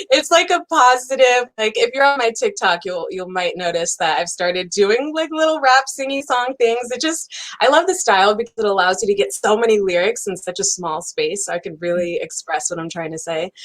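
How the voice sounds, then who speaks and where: A woman with a fairly high voice speaks at a fairly quick pace with hardly any pauses and very wide pitch swings. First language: Spanish. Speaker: singer-songwriter. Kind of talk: interview.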